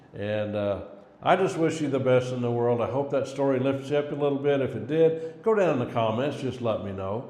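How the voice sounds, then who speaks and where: A medium-pitched man with an American accent at a fairly quick pace, with ordinary pitch variation, audible room echo and noticeable background noise. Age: 60s. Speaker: cleaning business owner and coach. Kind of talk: casual motivational talk to camera. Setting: self-recorded on phone camera.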